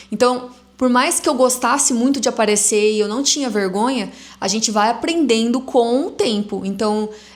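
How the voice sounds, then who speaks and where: This woman's voice is high-pitched, with lively intonation. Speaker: entrepreneur and influencer. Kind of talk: casual vlog monologue. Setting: recording at home on a camera. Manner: stammering.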